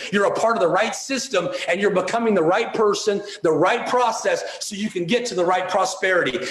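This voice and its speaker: A man speaks in an animated tone at a fairly quick pace and high pitch. There is audible room echo and noticeable background noise. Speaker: motivational speaker. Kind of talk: motivational speech. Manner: fast.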